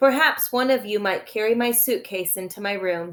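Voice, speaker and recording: A woman's put-on character voice, fairly high and wheezy, with ordinary pitch variation at a moderate pace. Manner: smooth, condescending, weary.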